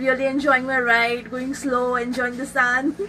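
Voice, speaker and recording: A woman with an Indian accent speaks in a raised, projected voice, high in pitch. There is noticeable background noise. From India (Mumbai). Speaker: solo motorcycle traveler. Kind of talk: casual interview.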